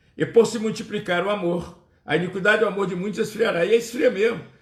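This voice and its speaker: A man talks at a fairly quick pace, his voice carrying audible room echo. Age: 60s. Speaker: pastor. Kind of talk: sermon.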